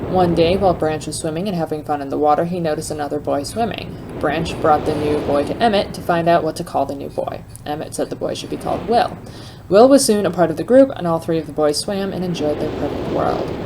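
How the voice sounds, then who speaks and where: The woman's pitch sits fairly low, with ordinary variation. She talks very fast over noticeable background noise. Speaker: let's play gamer. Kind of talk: reading in-game journal aloud.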